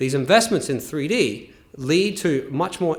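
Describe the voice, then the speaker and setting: Lively intonation marks a man's speech in an Australian accent, with audible room echo. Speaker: engineer presenter. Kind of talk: conference presentation.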